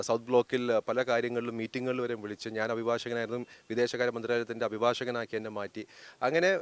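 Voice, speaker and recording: A man speaks in a normal speaking voice at a medium pitch. The sound is dry and close, with no echo. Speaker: politician and lawyer. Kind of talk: press interview.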